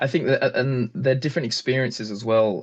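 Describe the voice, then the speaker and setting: A man with a southern British accent at a moderate pace, over a quiet background. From England. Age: 20s. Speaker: French teacher and polyglot. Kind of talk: interview conversation.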